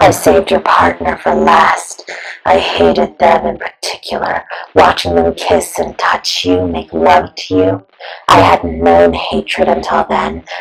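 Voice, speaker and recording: This put-on character voice is raspy and very deep and low, delivered at a fairly slow pace. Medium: audio drama.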